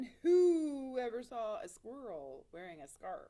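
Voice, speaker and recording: A woman does a loud, put-on character voice at a high pitch and a fairly slow pace. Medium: read story.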